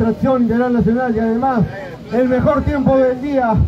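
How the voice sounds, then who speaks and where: A man with a Peruvian accent talks at a moderate pace in an animated tone, his pitch extremely high for a man. Music plays in the background. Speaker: awards announcer. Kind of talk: live awards ceremony announcing podium winners. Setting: outdoors at the podium with an audience and PA system. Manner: animated, loud, rallying the crowd to applaud. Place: street.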